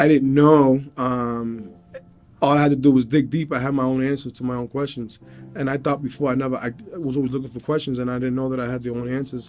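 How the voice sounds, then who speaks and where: With music in the background, a man with a medium pitch races along at a very fast pace in a monotone, flat intonation. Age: 30s. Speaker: MMA fighter. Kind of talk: interview testimony. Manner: halting.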